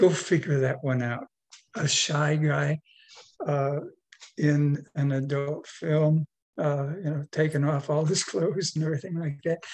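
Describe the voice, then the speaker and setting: Somewhat breathy, a man with a fairly high pitch speaks at a fairly slow pace with fairly even intonation. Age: 70s. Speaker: retired adult film actor and director. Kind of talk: interview. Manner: halting, with many fillers.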